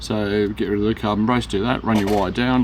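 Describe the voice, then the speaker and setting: With an Australian accent, a man talks at a fairly quick pace in a fairly low voice over noticeable background noise. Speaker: rc hobby store owner. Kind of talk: tutorial. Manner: fast; casual, halting with fillers.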